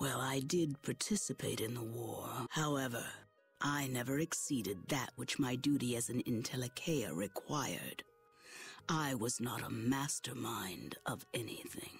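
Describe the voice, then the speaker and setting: A put-on character voice at low-to-middle pitch comes through with faint music in the background. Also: moderate pace. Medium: video game. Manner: formal, stately.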